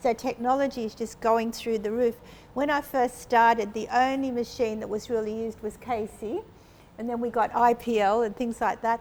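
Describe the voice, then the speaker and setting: Speaking at a moderate pace, a woman with a fairly high pitch keeps a monotone, flat intonation. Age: 70s. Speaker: aesthetic doctor. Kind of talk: panel discussion.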